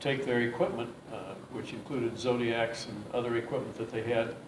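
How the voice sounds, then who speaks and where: Man at a fairly slow pace, medium pitch, with an American accent, noticeable background noise and audible room echo. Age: 70s. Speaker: war veteran. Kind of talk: interview. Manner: halting, with many fillers.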